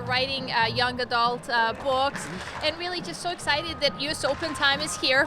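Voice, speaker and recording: Noticeable background noise behind a woman's high voice. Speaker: retired professional tennis player. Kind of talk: interview answer. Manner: soft-spoken.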